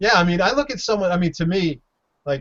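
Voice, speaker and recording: With ordinary pitch variation and an ordinary speaking voice, a man delivers his words at a fairly quick pace. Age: 50s. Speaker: video podcast co-host. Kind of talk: casual chat.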